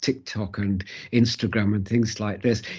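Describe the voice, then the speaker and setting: Against a quiet background, a man speaks at a fairly slow pace in a somewhat breathy voice. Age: 80s+. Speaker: interviewee sharing life story. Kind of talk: interview. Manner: halting, many repetitions and fillers.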